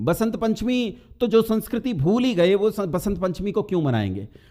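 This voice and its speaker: This man has a high pitch and a dark, mellow tone. His intonation is lively. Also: hardly any pauses. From north India, near Delhi. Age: 40s. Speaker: motivational speaker addressing students. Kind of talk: talk to students.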